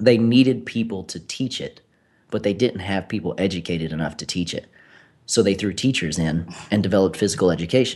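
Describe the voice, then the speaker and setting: Over a quiet background, a man talks at a fairly quick pace in an unremarkable speaking voice, fairly low in pitch with ordinary pitch variation. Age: 30s. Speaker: personal trainer and gym owner. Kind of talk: casual interview.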